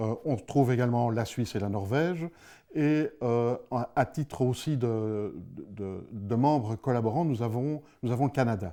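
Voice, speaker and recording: A man with a Belgian accent and a dark, mellow tone, at a fairly slow pace with ordinary pitch variation, in a very clean recording over a silent background. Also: medium pitch for a man. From Belgium. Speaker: space security director, ex-police officer. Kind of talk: interview. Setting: studio. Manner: hesitant, many fillers.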